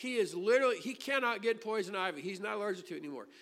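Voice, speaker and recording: Raised and projected, a man's extremely high voice races at a very fast pace with very wide pitch swings and a bright, sharp tone. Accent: American. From US Midwest, Illinois. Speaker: pastor. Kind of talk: sermon. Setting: church.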